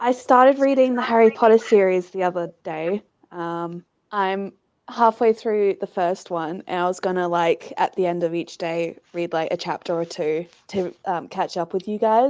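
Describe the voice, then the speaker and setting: At a moderate pace, a woman speaks with an Australian accent, a medium pitch and ordinary pitch variation. The background is quiet. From Western Australia. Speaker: fellow book streamer. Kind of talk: casual chat.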